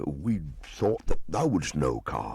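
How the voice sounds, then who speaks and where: Dropping into a very deep, low pitch, a man performs a put-on character voice. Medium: read story. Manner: warm, earnest, slightly fussy.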